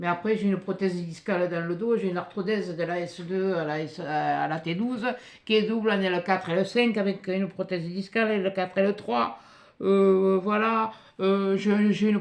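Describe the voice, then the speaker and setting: Fairly slow speech from a woman at a medium pitch. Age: 60s. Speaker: youtuber reading mail. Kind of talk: casual chat. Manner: halting.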